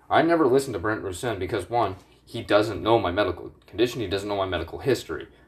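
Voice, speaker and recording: On a very clean recording with a silent background, a man with a fairly low pitch and a somewhat breathy voice talks at a fairly quick pace with lively intonation. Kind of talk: angry rant. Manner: agitated, indignant, heated, with swearing and accusatory jabs at the government.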